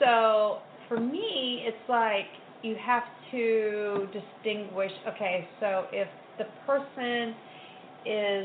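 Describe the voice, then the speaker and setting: The speech is very slow, with long, frequent pauses and ordinary pitch variation. Audible room echo and noticeable background noise fill the recording. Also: woman. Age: 40s. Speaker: author. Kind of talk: interview.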